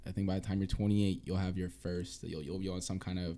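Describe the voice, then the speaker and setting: In a very clean recording with a silent background, a man with an American accent speaks at a very deep, low pitch in a dark, mellow tone. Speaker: podcast host. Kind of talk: casual chat.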